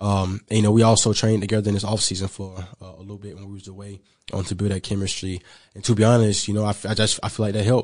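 Over a quiet background, a man speaks at a very fast pace and fairly low pitch, with monotone, flat intonation and big swings in loudness. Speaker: pro football player. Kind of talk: interview. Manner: hesitant, many fillers.

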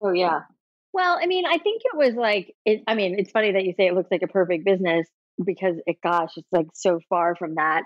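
Heard here is an ordinary speaking voice with an American accent, ordinary pitch variation, and a fairly quick pace. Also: woman, medium pitch for a woman. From US South Florida. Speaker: entrepreneur, hair salon founder. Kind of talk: interview.

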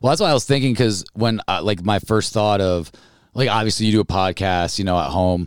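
A man talks fairly quickly in a normal speaking voice, with ordinary pitch variation, on a very clean recording with a silent background. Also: fairly low pitch for a man. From upstate New York (Albany). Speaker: stand-up comedian. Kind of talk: casual chat.

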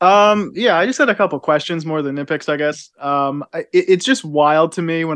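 Over a quiet background, a man with a fairly high pitch uses an ordinary speaking voice at a moderate pace with ordinary pitch variation. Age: 20s. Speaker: podcaster guest. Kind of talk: casual chat.

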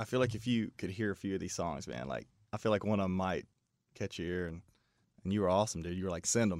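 A man's very deep, low voice at a very fast pace, with ordinary pitch variation, on a very clean recording with a silent background. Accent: American. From Kentucky (Pikeville). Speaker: songwriter. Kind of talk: casual chat.

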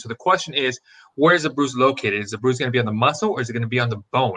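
A bright, sharp tone with ordinary pitch variation. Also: man. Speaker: former athletic trainer. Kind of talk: expert explanation, casual chat.

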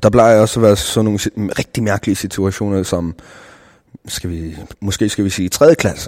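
A man speaks at a fairly quick pace in a fairly low voice, his pitch varying an ordinary amount. Long pauses come often, and his loudness swings widely. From South Greenland, Nanortalik. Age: 20s. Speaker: rapper and video producer. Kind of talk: interview. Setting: cultural center in Nuuk.

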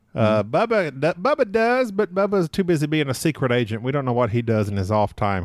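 A man with an American accent at a fairly quick pace, with hardly any pauses and very wide pitch swings, on a very clean recording with a silent background. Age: 40s. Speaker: board game podcaster. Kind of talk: casual interview.

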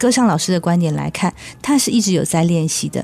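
A woman speaks with a dark, mellow tone that is somewhat breathy. Her medium-pitched voice has lively intonation. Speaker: vocal coach. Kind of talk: casual chat. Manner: animated.

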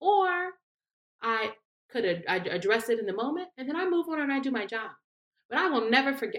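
Speaking at a very fast pace, a woman moves through very wide pitch swings. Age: 30s. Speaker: political advisor. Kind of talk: casual interview.

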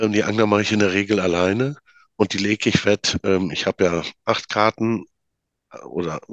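A man with a fairly low pitch talks at a moderate pace and with fairly even intonation, in a dry, close sound with no echo and a quiet background. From Münsterland, North Rhine-Westphalia. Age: 40s. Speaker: card game maker. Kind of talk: casual interview. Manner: halting.

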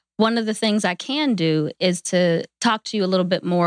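With an American accent and an ordinary speaking voice, a woman talks at a fairly low pitch and a fairly quick pace. The recording is very clean with a silent background and a dry, close sound with no echo. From western Pennsylvania, near Pittsburgh. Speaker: human resources and recruitment professional. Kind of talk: podcast interview.

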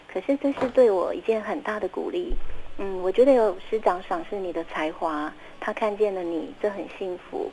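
Using lively intonation, a woman with a medium pitch talks at a moderate pace. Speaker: children's author. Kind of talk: interview.

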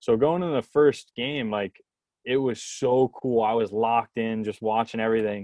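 In an ordinary speaking voice, a man talks at a moderate pace with a medium pitch and ordinary pitch variation. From New Jersey. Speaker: baseball video intern, former college pitcher. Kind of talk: casual interview chat.

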